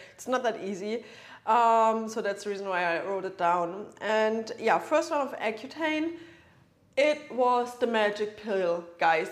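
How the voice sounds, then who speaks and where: A woman at a fairly slow pace, her fairly high pitch carrying lively intonation. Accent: German. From Germany. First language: German. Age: 30s. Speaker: nutritionist. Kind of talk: podcast monologue.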